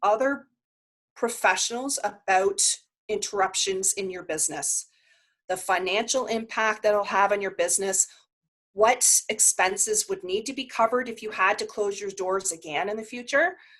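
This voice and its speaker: A woman with a fairly high pitch speaks at a moderate pace in a passionate, animated tone. Her pitch varies in an ordinary way. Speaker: workshop presenter on insurance. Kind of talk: online workshop presentation.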